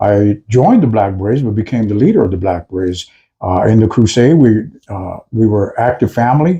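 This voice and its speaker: With an American accent, a man speaks at a fairly quick pace and a fairly low pitch with ordinary pitch variation. His tone is dark, mellow and somewhat breathy, set against a quiet background. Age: 60s. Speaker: videocast co-host, activist. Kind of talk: casual discussion.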